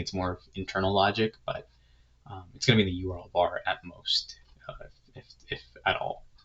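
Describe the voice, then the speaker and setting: A man is heard talking. His voice sits very deep and low. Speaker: software tutorial creator and agency owner. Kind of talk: screen-recorded tutorial. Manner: fast; casual, many fillers.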